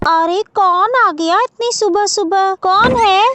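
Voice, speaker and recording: A woman does a cartoonish character voice at an extremely high pitch, talking fairly slowly. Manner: scornful, sharp.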